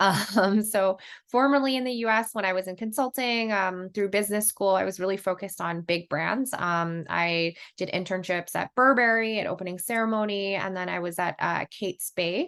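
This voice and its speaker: A woman's normal speaking voice in an American accent, medium in pitch with ordinary variation, at a moderate pace. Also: quiet background. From US, New York. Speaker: brand marketing director. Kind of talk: podcast interview.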